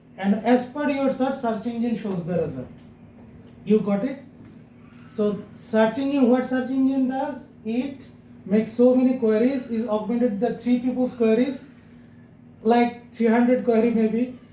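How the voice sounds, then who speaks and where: With audible room echo, a man speaks at a fairly slow pace, taking long, frequent pauses. His pitch is extremely high and his intonation fairly even. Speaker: SEO agency CEO teaching a class. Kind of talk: lecture.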